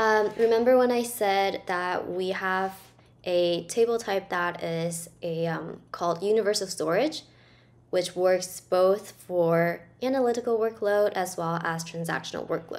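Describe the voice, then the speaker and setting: Fairly slow pace with ordinary pitch variation. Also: woman. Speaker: presenter. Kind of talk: tutorial.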